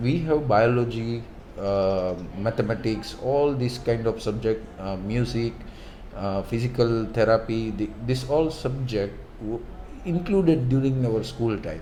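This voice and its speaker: With audible room echo, a man speaks at a fairly slow pace and shows ordinary pitch variation. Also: medium pitch for a man. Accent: Gujarati. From India, Gujarat. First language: Gujarati. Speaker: medical student. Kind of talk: casual interview. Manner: halting, many fillers.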